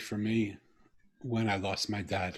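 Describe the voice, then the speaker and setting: The voice has a bright, sharp tone, fairly even intonation and a fairly slow pace. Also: man. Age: 60s. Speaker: podcast guest. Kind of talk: personal storytelling interview.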